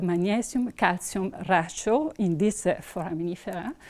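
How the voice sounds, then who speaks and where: A woman speaks in an Italian accent with a dark, mellow tone. Her pace is fairly slow against a quiet background. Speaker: researcher; presenter. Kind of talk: conference talk. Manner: halting. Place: hall.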